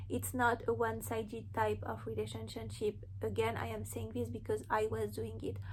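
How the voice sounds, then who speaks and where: A woman with a non-native accent speaks in a very deep, low voice, somewhat breathy and monotone, with hardly any pauses and audible room echo. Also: moderate pace. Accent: foreign accent, noticeable. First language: not English. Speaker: spiritual content creator. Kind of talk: inspirational monologue to camera. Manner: earnest, conversational.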